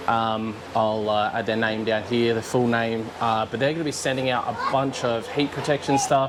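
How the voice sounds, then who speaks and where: With an Australian accent, a man talks at medium pitch and a moderate pace with hardly any pauses and fairly even intonation, over noticeable background noise. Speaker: car vlogger. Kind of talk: casual vlog talk. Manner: loud.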